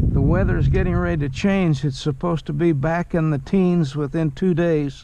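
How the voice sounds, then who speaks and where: The man keeps a moderate pace while noticeable background noise runs underneath. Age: 80s+. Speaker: fishing video creator. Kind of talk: outdoor vlog narration. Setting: outdoors in a kayak on a river.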